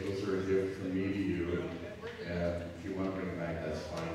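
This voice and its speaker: A man's fairly low voice at a moderate pace, with strong room echo and noticeable background noise. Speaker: preacher. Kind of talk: sermon. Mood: warm, joking. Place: church.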